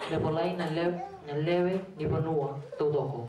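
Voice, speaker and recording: Fairly slow speech with light background noise and audible room echo. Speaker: scripture reader. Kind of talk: reading aloud. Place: home room. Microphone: camera far.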